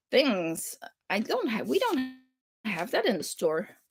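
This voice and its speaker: A woman with a slight European accent. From Flanders, Belgium. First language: French. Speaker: crafting livestream host. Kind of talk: casual chat. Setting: livestream. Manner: halting.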